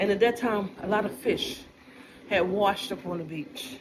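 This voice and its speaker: A woman's medium-pitched, animated voice at a moderate pace, with ordinary pitch variation, noticeable background noise and audible room echo. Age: 60s. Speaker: vlogger. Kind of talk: casual monologue.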